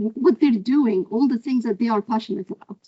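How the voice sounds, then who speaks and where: A woman with an Arabic accent speaks at a fairly high pitch, somewhat breathy, with ordinary pitch variation. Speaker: professor. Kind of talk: lecture.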